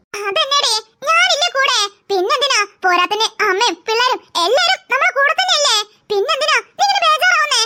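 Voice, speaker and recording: This cartoonish character voice sits at an extremely high pitch. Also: moderate pace. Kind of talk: cartoon character voices.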